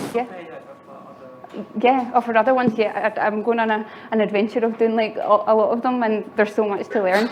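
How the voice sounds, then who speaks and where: Talking at a fairly quick pace with long, frequent pauses, a woman uses a fairly high pitch and monotone, flat intonation over noticeable background noise. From Scotland, Glasgow. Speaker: software engineer and conference speaker. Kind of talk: conference talk. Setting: stage with audience. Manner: fast.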